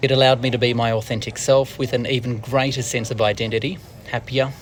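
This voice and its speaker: This man talks at a very fast pace in an Australian accent. His intonation is monotone and flat, with noticeable background noise behind him. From Australia, Wollongong, New South Wales. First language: Portuguese. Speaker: news presenter. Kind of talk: scripted narration.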